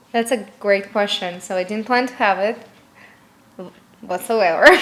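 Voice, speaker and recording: Talking at a moderate rate, a woman with a fairly high voice keeps her intonation fairly level as noticeable noise fills the background. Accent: Russian. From Russia. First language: Russian. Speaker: lash artist and business founder. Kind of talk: interview. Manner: halting non-native phrasing with fillers.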